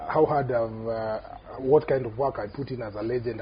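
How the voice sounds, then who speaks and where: Delivered at a moderate pace, the speech has noticeable background noise behind it. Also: man. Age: 40s. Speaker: rugby player. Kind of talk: casual chat.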